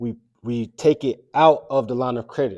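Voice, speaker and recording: A man's dark, mellow tone comes through on a very clean recording with a silent background and a dry, close sound with no echo. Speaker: personal finance educator. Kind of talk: tutorial. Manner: slow; halting.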